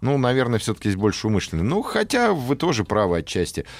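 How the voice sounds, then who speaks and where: A man talks at a very fast pace and medium pitch, his pitch swinging very widely. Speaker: radio host. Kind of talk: casual chat. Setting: studio. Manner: animated.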